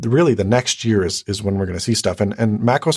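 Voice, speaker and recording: A man with an unremarkable speaking voice talks at a fairly low pitch with ordinary pitch variation. The sound is dry and close with no echo, over a very clean, silent background. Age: 20s. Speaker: YouTuber. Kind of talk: casual chat.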